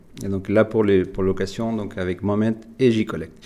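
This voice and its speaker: Against a quiet background, a man with a slight Latin American accent talks at a moderate pace. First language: Spanish (speaking French). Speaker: software company executive. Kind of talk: webinar presentation. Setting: online webinar with screen share.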